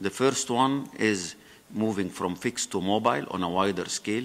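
A man speaks with an Arabic accent. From Egypt. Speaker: former government minister. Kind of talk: conference panel talk. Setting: stage with audience. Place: hall.

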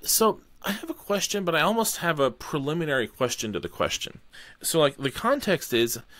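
Very wide pitch swings mark this voice, which keeps a moderate pace. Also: man. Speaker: podcast host. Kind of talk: interview. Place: home room. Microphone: studio mic.

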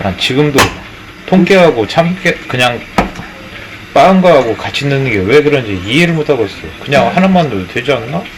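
A man at a moderate pace with very wide pitch swings over noticeable background noise. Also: fairly high pitch for a man. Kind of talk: casual kitchen talk.

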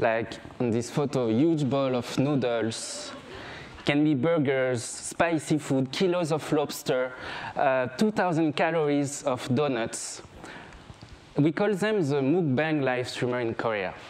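A man talks at a very slow pace with a French accent. His loudness stays very even throughout. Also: ordinary pitch variation. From France, grew up on a small island. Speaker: photographer. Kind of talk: stage talk. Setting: stage with audience. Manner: halting, with fillers. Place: stage.

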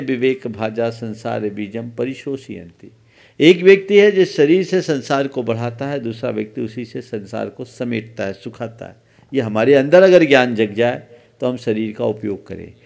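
A man's lively intonation at a very slow pace, over a quiet background. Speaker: Jain monk. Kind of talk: religious discourse answering a question. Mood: calm, earnest teaching. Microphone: podium.

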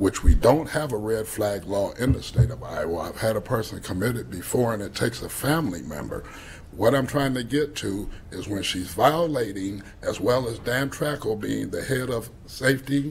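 A man speaks at a moderate pace with lively intonation. Light background noise sits behind him. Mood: aggrieved, accusatory. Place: meeting room.

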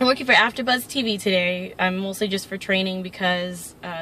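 A woman talking at a fairly quick pace with ordinary pitch variation, a dry sound with no echo and light background noise. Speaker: vlogger. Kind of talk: casual vlog chat. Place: car. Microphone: phone near.

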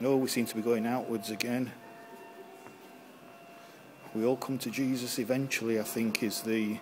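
This man speaks at a moderate pace and medium pitch, his slightly mellow tone showing little pitch movement and broken by long, frequent pauses.

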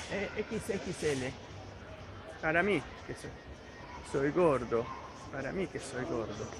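Very slow speech from a man, broken by long, frequent pauses, at a fairly high pitch. The sound is dry with no echo, though background noise is noticeable. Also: lively intonation. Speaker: youtuber; vlogger. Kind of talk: casual vlog narration. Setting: hypermarket. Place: shop. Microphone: phone near.

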